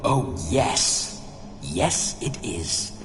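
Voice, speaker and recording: Loud background noise runs under a cartoonish character voice. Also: man. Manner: bawdy, flamboyant.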